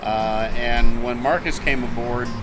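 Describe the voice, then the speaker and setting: With music in the background and audible room echo, a man speaks in an American accent with monotone, flat intonation. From Wisconsin (Warrens area). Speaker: radio broadcaster. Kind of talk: interview, casual storytelling.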